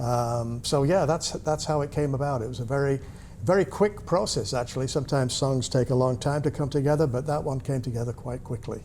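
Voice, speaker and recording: A man with a slight English accent and fairly even intonation. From UK. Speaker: musician. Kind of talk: interview. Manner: halting.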